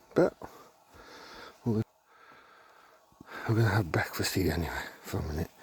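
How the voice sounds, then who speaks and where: A quiet man's voice. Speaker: camping vlogger. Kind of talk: casual vlog talk. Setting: outdoors at campsite. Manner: quiet, keeping voice down.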